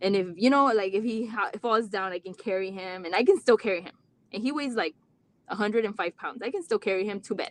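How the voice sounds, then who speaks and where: A woman talks at a very fast pace in a Mexican accent, her fairly high pitch showing ordinary variation. Her loudness swings widely, and the sound is dry and close with no echo. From Rio Grande Valley, Texas. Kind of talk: live stream talk. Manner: halting.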